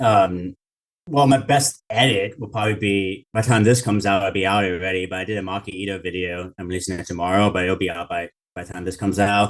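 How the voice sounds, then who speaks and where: Against a quiet background, a man with a fairly low voice talks at a very fast pace, his intonation fairly even but his loudness swinging widely. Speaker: YouTube video creator. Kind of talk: interview. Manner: rambling and frenetic.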